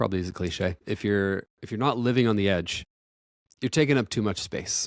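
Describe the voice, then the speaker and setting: With an American accent, the speaker moves at a fairly quick pace with ordinary pitch variation, in a very clean recording with a silent background and a dry, close sound with no echo. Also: man. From US Northeast (Maine). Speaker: podcast host. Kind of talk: solo podcast monologue. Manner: halting, fumbling words; casual, unscripted.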